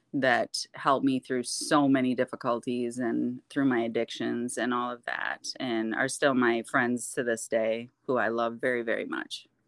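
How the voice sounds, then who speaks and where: In an Upper Midwest accent, a woman with a very deep, low pitch speaks at a moderate pace in a monotone, flat intonation, the sound dry and close with no echo and the recording very clean against a silent background. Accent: Upper Midwest American. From Michigan (Kentwood). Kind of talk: testimony in casual interview.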